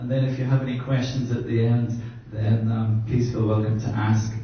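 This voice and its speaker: Speaking at a moderate pace with an Irish accent, a man is heard over noticeable background noise and audible room echo. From Ireland. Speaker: brand consultant. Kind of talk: workshop presentation.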